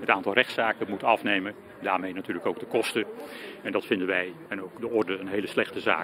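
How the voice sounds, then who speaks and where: Over noticeable background noise, a man rattles off words at a very fast pace in a monotone, flat intonation, with a dry sound and no echo. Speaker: lawyer. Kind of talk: interview. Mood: calm, critical. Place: street. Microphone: handheld.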